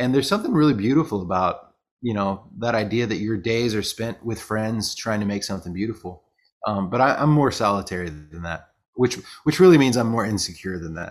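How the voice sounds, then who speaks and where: A man with an American accent has an ordinary speaking voice, pitched fairly low. He talks at a fairly quick pace with lively intonation. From rural US. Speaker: singer-songwriter and author. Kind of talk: interview. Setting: home writing office.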